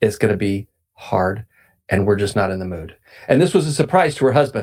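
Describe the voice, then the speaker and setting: This man's voice is fairly low and somewhat breathy, captured in a very clean recording with a silent background. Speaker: podcast host. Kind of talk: religious talk. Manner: halting.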